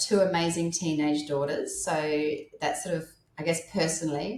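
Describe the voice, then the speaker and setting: Woman with an Australian accent, at a fairly slow pace. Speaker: menopause life coach. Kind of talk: podcast interview. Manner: halting, self-correcting.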